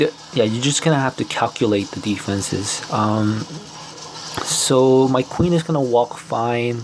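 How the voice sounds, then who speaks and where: A man talks fairly slowly, his pitch varying in an ordinary way, with noticeable background noise around him. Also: medium pitch for a man. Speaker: mobile strategy game content creator. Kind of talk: gameplay commentary. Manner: casual, hesitant with fillers.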